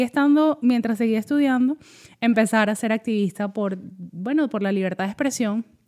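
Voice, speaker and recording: A fairly high-pitched woman's voice, very fast, with a dark, mellow tone and a dry, close sound with no echo. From Venezuela, Caracas. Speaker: social media consultant. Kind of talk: casual interview. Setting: in person, same room.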